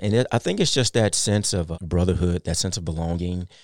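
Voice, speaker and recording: A man with an American accent, his pitch very deep and low, his intonation fairly even, on a very clean recording with a silent background and a dry, close sound with no echo. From US Midwest, Kansas City, Missouri. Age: 40s. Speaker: retired army officer and personal trainer. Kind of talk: interview.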